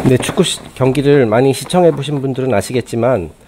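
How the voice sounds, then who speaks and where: A man speaks at a moderate pace and a medium pitch, with noticeable background noise behind him. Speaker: publisher / channel host. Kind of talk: casual talk to camera, book review. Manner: hesitant, some stammering.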